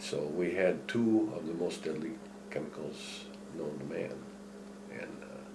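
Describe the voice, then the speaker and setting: Over noticeable background noise and audible room echo, a man talks at a fairly slow pace. His pitch is very deep and low, with ordinary variation. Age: 70s. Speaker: retired chemical plant worker. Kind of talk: oral history interview. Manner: halting.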